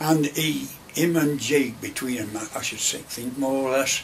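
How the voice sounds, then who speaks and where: A man at medium pitch with light background noise. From Derbyshire / Nottinghamshire, England. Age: 80s+. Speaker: retired coal miner. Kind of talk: oral history interview answer. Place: office. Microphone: camera far.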